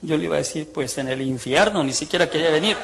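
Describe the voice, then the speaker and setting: A man's voice against noticeable background noise. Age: 60s. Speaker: ex-priest preacher. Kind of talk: testimony. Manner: animated.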